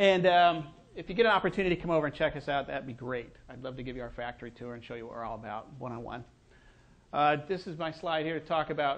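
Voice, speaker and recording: Very fast delivery with ordinary pitch variation. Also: man. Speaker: design agency principal, conference speaker. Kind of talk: conference talk. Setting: stage with audience. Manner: casual, with fillers.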